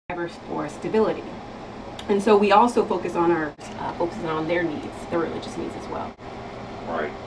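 A woman with an American accent talks at a fairly quick pace and a fairly low pitch, with ordinary pitch variation, big swings in loudness, long, frequent pauses, and noticeable background noise. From US Northwest (Tacoma, Washington); Washington. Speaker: Air Force master sergeant. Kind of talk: radio interview; interview answer. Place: office.

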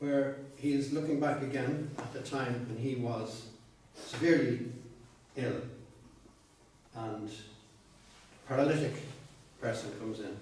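Over light background noise and strong room echo, a man talks at a fairly slow pace with ordinary pitch variation, long, frequent pauses and big swings in loudness. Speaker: poet giving a talk. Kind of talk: lecture. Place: meeting room. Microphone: camera far.

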